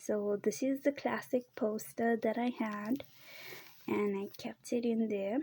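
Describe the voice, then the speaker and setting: A soft-spoken woman talks at a very slow pace in a calm tone. Her fairly high pitch carries a dark, mellow tone and fairly even intonation. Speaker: video creator. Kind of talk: casual show-and-tell.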